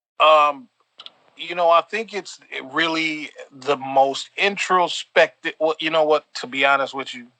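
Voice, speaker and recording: A man with an American accent has an unremarkable speaking voice, fairly high in pitch, with fairly even intonation and big swings in loudness. He talks at a fairly slow pace, and the sound is dry and close with no echo. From US Midwest, South Bend, Indiana. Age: 30s. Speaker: podcast co-host. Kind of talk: casual chat. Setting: remote recording.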